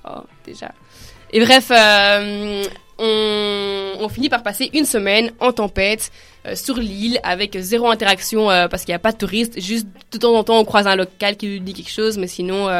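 A woman with an ordinary speaking voice at medium pitch, moderate pace and fairly even intonation, big swings in loudness, in a very clean recording with a silent background. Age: 20s. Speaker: student, backpacker. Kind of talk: radio talk show discussion.

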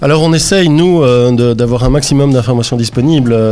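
There is noticeable background noise behind a man's medium-pitched voice. He speaks at a moderate pace with ordinary pitch variation. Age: 40s. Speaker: youth information centre director. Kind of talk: radio interview. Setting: radio studio. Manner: halting, many hesitations.

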